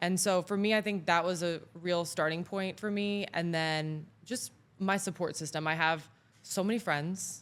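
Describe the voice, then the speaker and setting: At a moderate pace, a woman with a fairly low pitch talks in a Florida accent. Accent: American, Florida. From southern Florida, Mexican family. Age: 20s. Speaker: AI expert. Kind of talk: casual interview chat. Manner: animated.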